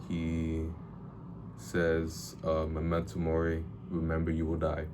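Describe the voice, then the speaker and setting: Very slow, monotone, flat speech with audible room echo and noticeable background noise. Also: man, very deep, low pitch for a man. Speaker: book reviewer / vlogger. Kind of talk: casual video monologue. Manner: halting, repeats words.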